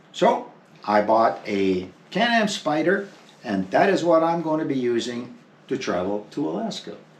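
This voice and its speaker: A man speaks fairly slowly at medium pitch, with very wide pitch swings. Audible room echo surrounds his voice. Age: 70s. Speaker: motorcycle traveller, vlogger. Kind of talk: casual chat.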